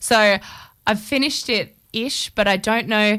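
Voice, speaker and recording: A woman with an Australian accent, medium pitch and fairly even intonation, on a very clean recording with a silent background. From Queensland, Australia (Toowoomba, Chinchilla). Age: 20s. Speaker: singer-songwriter. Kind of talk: radio interview. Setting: radio studio.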